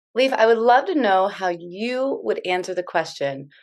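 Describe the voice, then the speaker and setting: Someone with an American accent speaks in an ordinary speaking voice at a moderate pace, with lively intonation. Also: woman. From United States. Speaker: podcast host. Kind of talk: casual interview conversation.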